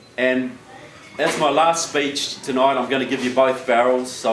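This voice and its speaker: A man with a New Zealand accent at a medium pitch and moderate pace, fairly even intonation, audible room echo and noticeable background noise. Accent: New Zealand accent, joked as Southern. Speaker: political speaker. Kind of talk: public speech. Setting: stage with audience.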